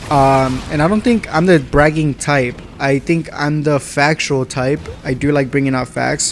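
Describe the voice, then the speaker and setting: Speaking at a moderate pace with fairly even intonation, a man with a fairly high-pitched voice is heard against noticeable background noise. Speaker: gaming YouTuber. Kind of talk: casual commentary vlog reading comments.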